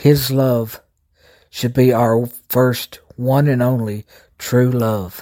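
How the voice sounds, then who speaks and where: Speaking very slowly in a monotone with flat intonation, a man with a medium pitch and a dark, mellow tone leaves long, frequent pauses. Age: 50s. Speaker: podcast host and lay preacher. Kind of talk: sermon.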